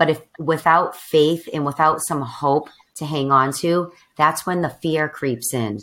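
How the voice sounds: Delivered at a fairly slow pace, the voice carries a fairly bright tone. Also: woman, low pitch for a woman, ordinary pitch variation.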